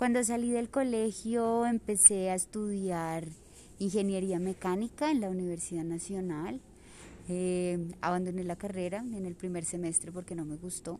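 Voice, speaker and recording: A woman talks at a fairly slow pace in a medium pitch. Her tone is dark and mellow, with ordinary pitch variation. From Colombia, Manizales (Caldas). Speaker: social communicator and filmmaker. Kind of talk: personal narration.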